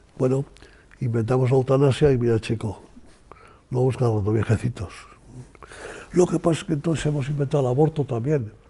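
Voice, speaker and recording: A man's somewhat breathy voice, dark and mellow in tone, medium in pitch, with ordinary pitch variation, a fairly quick pace and long, frequent pauses. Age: 80s+. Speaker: economist and author. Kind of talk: interview answer. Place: home room.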